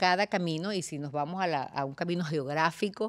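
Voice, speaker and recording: A woman with a Venezuelan accent speaks at a fairly low pitch on a very clean recording with a silent background. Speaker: talk show host. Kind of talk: interview.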